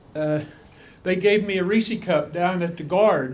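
A man's lively intonation at a moderate pace, with audible room echo. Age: 80s+. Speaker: member of the public commenting. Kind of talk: public comment. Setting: county commission meeting room. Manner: halting.

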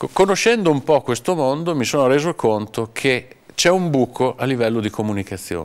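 With a normal speaking voice, a man talks at a fairly quick pace in a medium pitch, his intonation lively. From Romagna, Cesena. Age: 50s. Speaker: communications agency owner. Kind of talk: interview.

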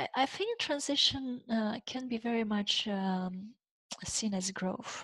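A woman with a Romanian accent speaks at a very slow pace and a fairly high pitch, with ordinary pitch variation and a quiet background. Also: dry sound with no echo. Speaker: leadership coach. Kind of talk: interview. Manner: halting, frequent repeated words. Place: home room. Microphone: headset.

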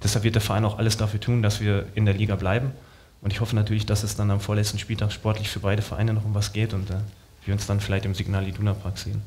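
Fairly low in pitch, a man rattles along at a very fast pace in a monotone, flat intonation. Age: 30s. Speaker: professional footballer; talk show guest. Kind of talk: talk show interview. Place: stage. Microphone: headset.

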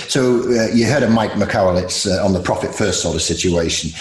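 A man talks at a fairly quick pace with ordinary pitch variation, and the room echo is audible. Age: 40s. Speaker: podcast host. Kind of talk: casual interview. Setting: video call. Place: home room. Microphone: earbuds.

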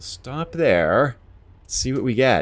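There is vocal fry as a man talks in an American accent. His pitch rises and falls very widely. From eastern US. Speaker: gaming YouTuber; gaming streamer. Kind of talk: let's play commentary; gameplay commentary. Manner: relaxed, conversational with fillers.

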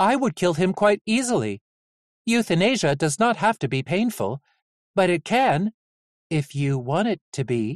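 Putting on a character voice, a man speaks at a high pitch with long, frequent pauses. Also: moderate pace.

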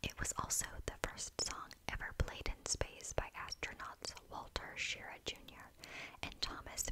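Whispering and soft-spoken, a woman talks at a fairly slow pace over noticeable background noise. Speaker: video creator. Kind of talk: soft-spoken reading of Christmas facts. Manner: soft close-mic whisper. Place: home room. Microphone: studio mic.

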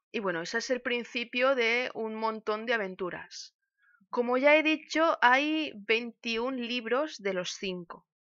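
A woman speaks very slowly at a high pitch with ordinary pitch variation. Her tone is bright and sharp, and the background is quiet. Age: 30s. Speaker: music teacher and streamer; book streamer. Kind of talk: casual book talk; casual stream talk, book review. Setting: live stream. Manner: halting. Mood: warm, nostalgic. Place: home room. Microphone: webcam.

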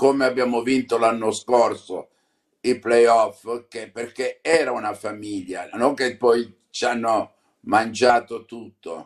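The setting is quiet. A man delivers his words very slowly. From Apulia, southern Italy (Canosa di Puglia); Apulia, Italy. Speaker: football club president. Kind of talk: interview. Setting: remote video link. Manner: halting. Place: home room. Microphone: phone near.

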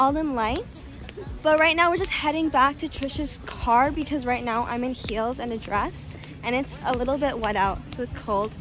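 Over faint music in the background, a woman speaks at a high pitch and moderate pace with ordinary pitch variation, in a dry sound with no echo. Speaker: travel vlogger. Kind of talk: casual vlog chat. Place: street. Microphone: phone near.

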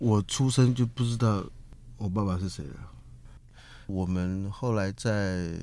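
At a fairly slow pace with long, frequent pauses, a speaker with a Taiwanese accent uses ordinary pitch variation and a dark, mellow tone. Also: man, fairly low pitch for a man. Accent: Taiwanese-accented Mandarin. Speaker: Amerasian who found his father. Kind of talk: interview. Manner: halting, repeats words.

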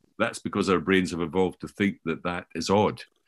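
At a fairly quick pace, a man with a very deep, low voice speaks over a quiet background. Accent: Scottish. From Scotland. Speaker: professor and author on learning; professor. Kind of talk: conversational interview discussion. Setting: remote, sitting in Scotland. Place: home room. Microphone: video call.

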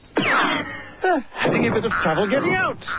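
A man with a high pitch and very wide pitch swings talks at a moderate pace against noticeable background noise. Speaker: comedy narrator. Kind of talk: comic cartoon narration. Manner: playful, joking asides. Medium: cartoon.

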